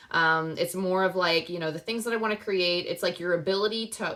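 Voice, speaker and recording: A woman talks at a fairly quick pace. Her pitch is medium and her intonation fairly even. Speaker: tarot reader. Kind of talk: tarot reading. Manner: fast; casual with many fillers.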